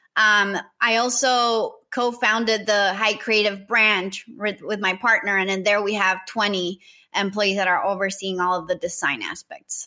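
In a Spanish accent, a woman speaks at a fairly slow pace with fairly even intonation against a quiet background. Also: medium pitch for a woman. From Nicaragua. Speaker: marketing entrepreneur. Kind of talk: interview.

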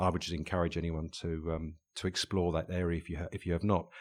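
A man talks at a very fast pace in an English accent. The recording is very clean, with a silent background. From England. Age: 50s. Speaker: leadership coach and author. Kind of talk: interview conversation. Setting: recording studio. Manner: hesitant, many fillers and repetitions.

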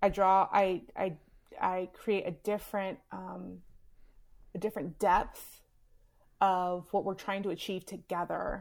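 A woman with an American accent speaks fairly slowly at medium pitch, leaving long, frequent pauses. Her intonation stays flat and monotone. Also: very clean recording, silent background. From US South, Houston, Texas. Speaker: author. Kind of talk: casual chat.

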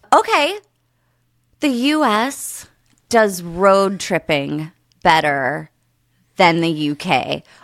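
An American-accented woman at a fairly low pitch, very wide pitch swings, a very slow pace and long, frequent pauses, on a very clean recording with a silent background. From Pennsylvania, US. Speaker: podcast guest. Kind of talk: casual chat.

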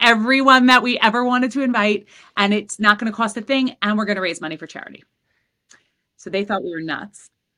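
Speaking with an American accent, a woman talks at a fairly quick pace. Her voice is fairly high with a bright, sharp tone. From Queens, New York City. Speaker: entrepreneur. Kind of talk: casual chat.

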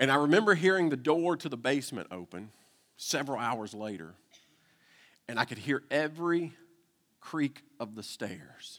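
A man with a Southern US accent. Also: very clean recording, silent background. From Kentucky. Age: 40s. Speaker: pastor. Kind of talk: sermon.

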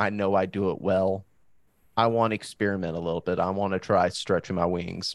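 A man with a normal speaking voice holds fairly even intonation at a moderate pace. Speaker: podcast host. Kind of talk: casual podcast chat.

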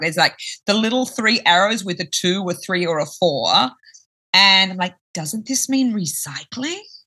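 Bright and sharp in tone, a woman speaks with an Australian accent. Her pace is moderate. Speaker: company founder. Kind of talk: interview.

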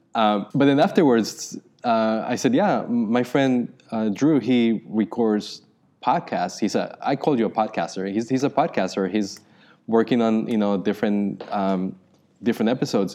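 With a Spanish accent and a dark, mellow tone, a man speaks at a moderate pace and medium pitch, keeping very even loudness and ordinary pitch variation over a quiet background. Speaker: podcast co-host. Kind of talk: casual chat. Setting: outdoors.

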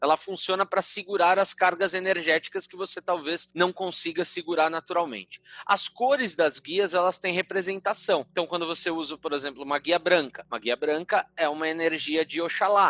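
A man with a high pitch and a bright, sharp tone speaks at a fairly quick pace in a dry, close sound with no echo. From São Paulo, Brazil (Mooca). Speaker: Umbanda spiritual leader. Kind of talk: casual interview.

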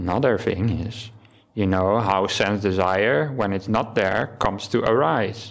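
Speaking in a Dutch accent, a man uses a fairly low pitch with ordinary variation and a fairly slow pace. His loudness stays very even, and the recording is very clean with a silent background. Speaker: Buddhist monk giving a dharma talk. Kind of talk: dharma talk. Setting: temple hall with audience, livestreamed.

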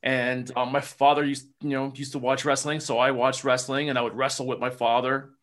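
A man with a New Jersey accent, fairly high in pitch and fairly quick in pace, against a quiet background. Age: 50s. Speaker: former pro wrestler. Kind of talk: casual interview.

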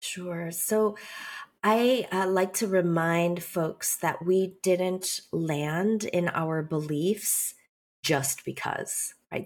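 In a General American accent, a woman talks at medium pitch. Her intonation is fairly even. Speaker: writer and speaker. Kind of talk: interview. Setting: studio.

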